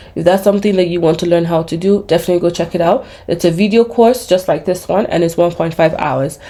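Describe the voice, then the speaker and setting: Fairly low pitch and fairly even intonation from a woman against noticeable background noise. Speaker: small business owner and YouTuber teaching online business. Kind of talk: screen-share tutorial. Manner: fast; casual, with frequent fillers.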